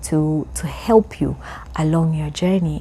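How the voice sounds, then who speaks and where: A woman with a dark, mellow, somewhat breathy voice speaks at a very deep, low pitch and a fairly slow pace. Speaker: video diarist. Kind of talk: personal video journal. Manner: halting, many repeated words.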